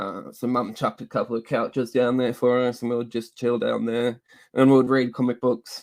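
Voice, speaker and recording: A man with an Australian accent at a medium pitch and a fairly quick pace. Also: dry, close sound with no echo. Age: 30s. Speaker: comic book YouTuber. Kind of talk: casual chat. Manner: halting.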